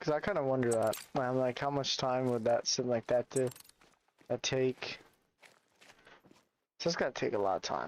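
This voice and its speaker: A man speaks quietly, his loudness very even and his pitch variation ordinary. He leaves long, frequent pauses. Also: medium pitch for a man, moderate pace, dry, close sound with no echo. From Canada. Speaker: gaming streamer. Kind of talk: live stream commentary. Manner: casual.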